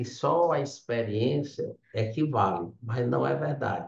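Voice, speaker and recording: With lively intonation and vocal fry, a man talks at a medium pitch. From Ceará, Brazil. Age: 60s. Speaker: civil engineer, business owner. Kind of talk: interview. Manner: halting, with many fillers.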